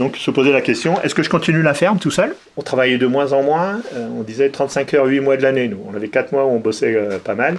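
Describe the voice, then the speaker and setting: Lively intonation marks a man's speech. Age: 60s. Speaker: retired dairy farmer. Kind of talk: interview testimony. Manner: hesitant, many fillers.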